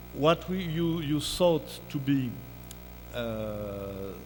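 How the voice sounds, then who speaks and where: A man with a French accent, audible room echo and music in the background. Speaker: keynote speaker, music scholar. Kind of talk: academic lecture. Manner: halting, many fillers.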